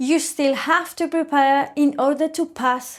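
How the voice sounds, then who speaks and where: A woman's high-pitched voice with a Spanish accent, very slow, in a very clean recording with a silent background. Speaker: English teacher. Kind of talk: scripted storytelling listening exercise.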